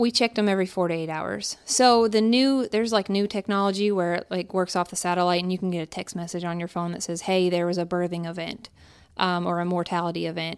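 A woman with an American accent talks at a fairly low pitch, keeping her intonation fairly even. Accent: Pennsylvania with slight Southern drawl. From Pennsylvania. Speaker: wildlife biologist. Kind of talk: casual interview.

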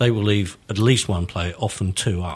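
Somewhat breathy, a man speaks with a fairly low pitch and ordinary pitch variation. His pace is moderate. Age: 60s. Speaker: author and football fan. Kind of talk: casual chat.

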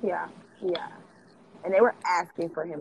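A woman speaks over noticeable background noise. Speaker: podcaster and socialite. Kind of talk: casual chat.

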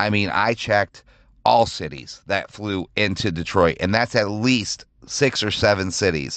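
A man's fairly low voice with vocal fry and an animated tone, fairly slow, with ordinary pitch variation, over a quiet background. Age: 40s. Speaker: sports podcast host. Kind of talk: casual solo rant.

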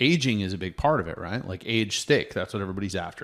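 A man with an American accent talks at a very fast pace with fairly low pitch and lively intonation. The recording is very clean, with a silent background. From Oregon, US. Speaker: beef company founder. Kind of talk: casual interview.

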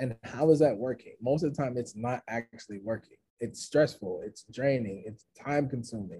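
A man talks at a medium pitch and a moderate pace, with hardly any pauses and ordinary pitch variation. His dark, mellow tone is somewhat breathy, with big swings in loudness. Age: 30s. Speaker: motivational speaker. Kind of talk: casual chat.

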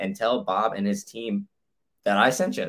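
A man with a plain, everyday voice, moderate pace and ordinary pitch variation, in a very clean recording with a silent background. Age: 20s. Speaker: podcast host. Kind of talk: sponsor read; casual chat.

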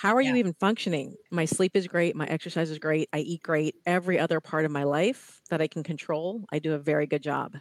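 A woman with an American accent talks at a very fast pace with hardly any pauses and a fairly low pitch. The recording is very clean, with a silent background. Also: ordinary pitch variation, dry, close sound with no echo. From US Midwest (Ohio). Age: 50s. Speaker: fitness and wellness coach. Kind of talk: interview.

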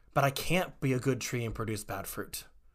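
A man with an American accent and a normal speaking voice, medium in pitch with ordinary pitch variation, at a fairly quick pace. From Texas, Waco. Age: 30s. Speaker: former chaplain and actor. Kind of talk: interview conversation.

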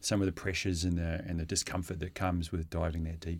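A man with an Australian accent is heard against a silent background on a very clean recording. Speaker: freediver. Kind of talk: casual interview.

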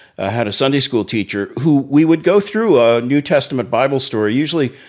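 In an American accent, a man with an unremarkable speaking voice talks at a fairly quick pace, medium in pitch and with lively intonation. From Oklahoma City. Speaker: pastor and ministry executive. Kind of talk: testimony.

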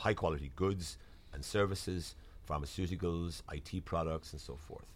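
A man speaks in a Waterford Irish accent with a very deep, low pitch. His pitch variation is ordinary. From Ireland, Waterford. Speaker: diplomat. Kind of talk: interview. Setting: studio.

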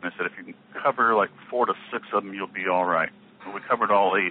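The speech moves at a fairly quick pace. Noticeable background noise runs under it. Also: man. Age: 50s. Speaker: inventor and company founder. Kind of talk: interview.

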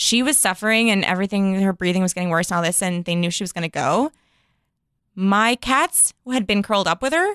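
A woman with an American accent and an ordinary speaking voice talks at a fairly quick pace, medium pitch and ordinary pitch variation. The recording is very clean, with a silent background and dry, close sound with no echo. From Chicago, US Midwest. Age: 30s. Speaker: podcast host. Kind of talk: casual chat.

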